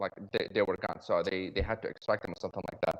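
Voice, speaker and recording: The speaker is a man. He has a slight non-native accent. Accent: slight foreign. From Iraq. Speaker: dentist. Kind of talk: podcast interview. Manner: halting, many fillers.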